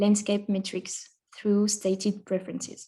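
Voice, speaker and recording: A woman with a French accent talks at a fairly slow pace, her voice somewhat breathy. Her pitch sits in the middle range, and her tone is dark and mellow. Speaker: conference presenter, researcher. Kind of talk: academic conference presentation. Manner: hesitant, many fillers.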